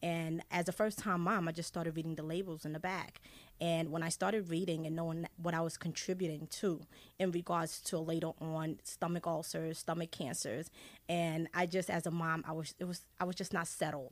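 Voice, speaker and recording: A woman's fairly low-pitched voice, monotone and flat in intonation, at a moderate pace. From Haiti, raised in US from age seven. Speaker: essential oils wellness advocate. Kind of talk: radio interview.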